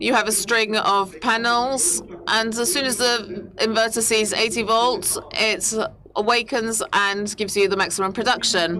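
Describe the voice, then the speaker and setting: A woman's fairly high voice at a fairly slow pace, with fairly even intonation and very even loudness, amid noticeable background noise and audible room echo. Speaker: company representative presenting products. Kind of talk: conference presentation. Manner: hesitant, many fillers.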